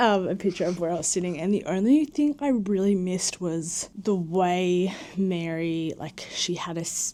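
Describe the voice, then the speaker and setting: In an Australian accent, a woman speaks at medium pitch and a moderate pace, with a dark, mellow tone and ordinary pitch variation. The recording is very clean with a silent background. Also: hardly any pauses. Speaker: vlogger. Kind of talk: casual vlog chat. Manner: animated.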